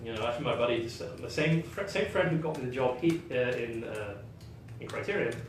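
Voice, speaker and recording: A man's lively, medium-pitched voice at a fairly quick pace, with audible room echo and noticeable background noise. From England (northwest), raised in Kuwait. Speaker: game designer. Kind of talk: casual interview chat. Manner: hesitant, many fillers.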